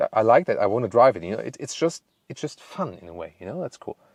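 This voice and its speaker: A man speaks in a German accent. The sound is dry and close with no echo, over a quiet background. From Germany. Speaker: car reviewer. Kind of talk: product review. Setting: on location with camera operator. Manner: playful, joking.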